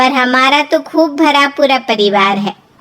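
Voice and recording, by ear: Using a cartoonish character voice, a woman speaks at a high pitch and moderate pace with lively intonation.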